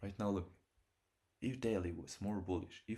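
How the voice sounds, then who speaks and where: The voice is somewhat breathy and moves at a fairly quick pace. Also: man. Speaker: day trader. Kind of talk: trading livestream commentary. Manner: fast.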